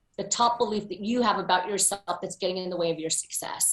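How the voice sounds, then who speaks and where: A woman speaks with an American accent in a plain, everyday voice. Her intonation is fairly even. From US, Pennsylvania. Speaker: motivational speaker. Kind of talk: interview.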